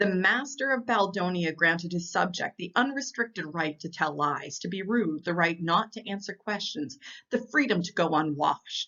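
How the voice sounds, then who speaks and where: Using an unremarkable speaking voice, a woman talks at a moderate pace with lively intonation and hardly any pauses. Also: medium pitch for a woman. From Maritime Canada. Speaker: storyteller. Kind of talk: casual storytelling to camera.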